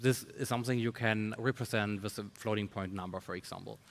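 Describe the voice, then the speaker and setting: With a non-native accent, a man speaks in a fairly low, monotone, flat voice. His pace is moderate, and the recording is very clean with a silent background. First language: not English. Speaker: tech researcher or founder. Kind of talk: panel discussion. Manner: halting, many fillers.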